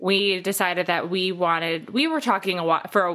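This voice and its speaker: A woman speaks with an unremarkable speaking voice at a medium pitch and moderate pace. The recording is very clean, with a silent background. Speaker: podcast co-host and brand communications strategist. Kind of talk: casual interview chat.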